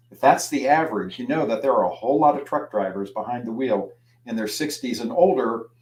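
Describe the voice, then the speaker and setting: A man speaks with an American accent in an unremarkable speaking voice, medium in pitch with lively intonation. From US Midwest (Youngstown, Ohio). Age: 60s. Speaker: trade magazine editor, speaker. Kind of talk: lecture. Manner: conversational.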